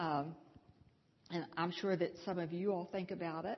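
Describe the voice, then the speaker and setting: A woman with an American accent speaks in a fairly low, somewhat breathy voice. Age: 70s. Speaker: series teacher leading a church discussion. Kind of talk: church group talk with audience discussion. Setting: church.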